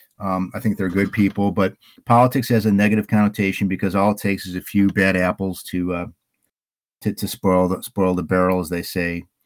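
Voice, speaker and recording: A man with a fairly low pitch talks at a fairly quick pace in a dry, close sound with no echo, on a very clean recording with a silent background. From Illinois. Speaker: local political candidate. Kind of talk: interview. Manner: halting.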